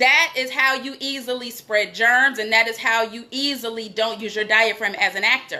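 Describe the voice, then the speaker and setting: A woman speaks with an American accent at a moderate pace. Her tone is animated. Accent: New York accent when passionate. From New York. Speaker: acting coach. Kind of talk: acting class. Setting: live video stream.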